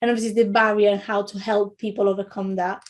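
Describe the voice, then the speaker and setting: Speaking very fast with an Italian accent, a woman uses a fairly high voice with fairly even intonation. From Italy. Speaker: childcare trainer, former midwife. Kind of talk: webinar lecture. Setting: online webinar. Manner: halting, many fillers and repetitions.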